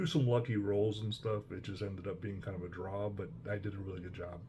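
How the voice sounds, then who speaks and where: A man with an American accent, fairly low in pitch, somewhat breathy, talking at a very fast pace with ordinary pitch variation. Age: 60s. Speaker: hobby vlogger, veteran wargamer. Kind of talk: casual personal monologue. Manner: relaxed, many fillers.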